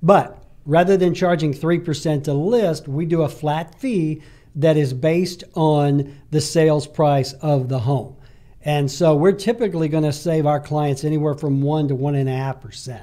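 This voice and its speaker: A man with an Alabama accent, fairly high-pitched with a dark, mellow tone, ordinary pitch variation and a moderate pace, against a quiet background. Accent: Southern US (Alabama). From Alabama, US South. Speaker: real estate agent and entrepreneur; guest. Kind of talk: casual interview chat. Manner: frequent hesitations. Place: studio. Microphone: studio mic.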